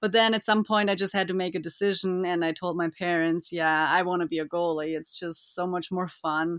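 Speaking with a German accent, a woman uses a fairly low pitch and fairly even intonation. She goes at a fairly quick pace with hardly any pauses. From Germany, Bavaria (Füssen). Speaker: ice hockey goaltender. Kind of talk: interview.

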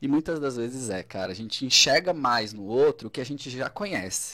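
A man speaks in an ordinary speaking voice with lively intonation at a moderate pace. The recording is very clean, with a silent background. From Santa Catarina, southern Brazil (Braço do Norte). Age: 30s. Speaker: psychologist. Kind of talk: casual interview. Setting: radio studio, live.

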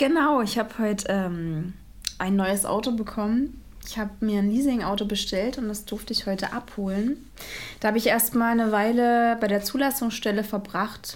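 At a moderate pace, a woman talks in a normal speaking voice, fairly high in pitch with ordinary pitch variation. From Brandenburg, Cottbus. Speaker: photographer and mother. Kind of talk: casual chat.

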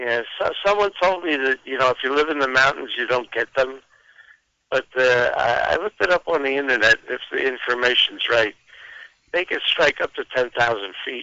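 At a moderate pace, a man talks at medium pitch in a plain, everyday voice. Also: ordinary pitch variation. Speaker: caller. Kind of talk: casual chat. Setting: phone call.

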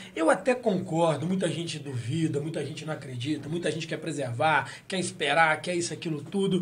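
A man's fairly high voice at a fairly quick pace, with ordinary pitch variation, hardly any pauses and audible room echo. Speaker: podcast host. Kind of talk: casual chat. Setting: studio.

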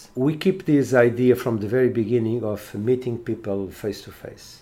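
At a moderate pace, a man with a Portuguese accent talks in a dark, mellow tone with ordinary pitch variation. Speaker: education professor. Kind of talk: interview. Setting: on location. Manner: halting.

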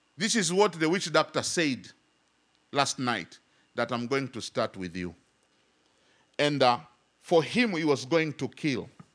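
With vocal fry and a fairly high pitch, a man talks at a fairly slow pace, swinging very widely in pitch and leaving long, frequent pauses, in a very clean recording with a silent background. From Tanzania. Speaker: pastor. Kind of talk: sermon. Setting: church.

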